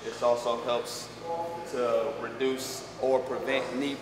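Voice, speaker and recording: There is noticeable background noise and audible room echo as a man speaks. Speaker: fitness trainer. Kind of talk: tutorial. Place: gym.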